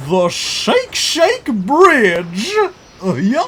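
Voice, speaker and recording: The speaker uses a put-on character voice. The pitch is fairly high. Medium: audio drama. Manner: rambling, confused.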